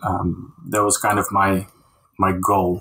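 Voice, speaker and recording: A man with a Dutch accent. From Netherlands (Castricum, North Holland). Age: 40s. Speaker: concept artist. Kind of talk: casual interview. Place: home room.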